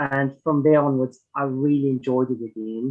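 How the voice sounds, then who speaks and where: The man's voice sits at a fairly high pitch, with a slight German accent. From Germany. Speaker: ultra runner. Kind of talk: podcast interview. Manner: hesitant, many fillers.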